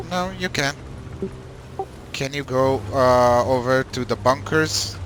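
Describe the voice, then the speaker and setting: A man with a non-native accent, medium-pitched with ordinary pitch variation, at a very slow pace, with music in the background. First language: not English. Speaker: gaming clan trainer. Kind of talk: game training session. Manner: halting.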